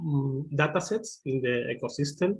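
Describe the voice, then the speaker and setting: Over a quiet background, a man with a Spanish accent talks at a very slow pace. His voice is fairly high in pitch and somewhat breathy. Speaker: machine learning engineer; presenter. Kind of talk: webinar tutorial. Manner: halting, many fillers. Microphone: video call.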